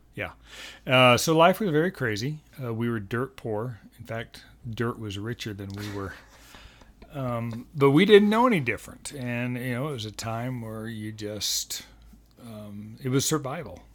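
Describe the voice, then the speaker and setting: At a moderate pace and medium pitch, a man with an unremarkable speaking voice shows ordinary pitch variation and big swings in loudness. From Colorado, Denver (born Texas Panhandle). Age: 60s. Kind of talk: casual interview. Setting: home nursery room.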